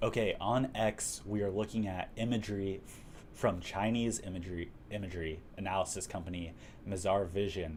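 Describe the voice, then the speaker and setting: With a Texan accent and a very deep, low pitch, a man speaks in fairly even intonation amid audible room echo. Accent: Texan American English. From Texas. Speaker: livestream host. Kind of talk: casual livestream chat.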